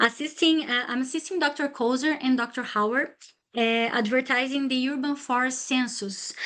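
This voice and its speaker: Speaking with a Brazilian Portuguese accent, a woman uses a high pitch and fairly even intonation. Her pace is moderate over a quiet background. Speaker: PhD student presenter. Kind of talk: academic seminar talk. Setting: lunchtime seminar with audience. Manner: halting, many fillers.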